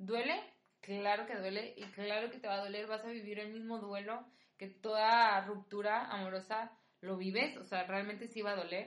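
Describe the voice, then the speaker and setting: A woman with an unremarkable speaking voice talks at a fairly slow pace. Her pitch is fairly high and her intonation fairly even. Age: 20s. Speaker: podcast guest, host's best friend. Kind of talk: casual chat, personal testimony.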